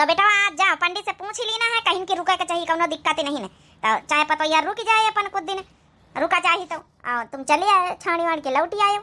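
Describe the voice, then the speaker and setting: A cartoonish character voice at a very fast pace. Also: woman, extremely high pitch for a woman. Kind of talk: comic overacting. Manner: scolding, rustic Awadhi talk.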